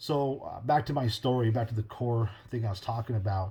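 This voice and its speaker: A man speaks with a dark, mellow tone. His voice is somewhat breathy and his intonation fairly even. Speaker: podcast host. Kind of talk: casual monologue. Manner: fast.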